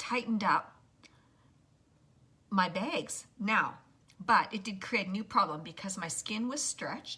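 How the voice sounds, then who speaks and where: Her tone comes across bright and sharp. This woman takes a fairly slow pace. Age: 60s. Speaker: makeup tutorial livestreamer. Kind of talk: livestream makeup tutorial. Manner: casual, chatty with hesitations.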